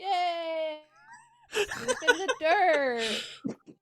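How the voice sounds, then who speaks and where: A put-on character voice, squeaky and extremely high-pitched. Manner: sarcastic, fake excitement.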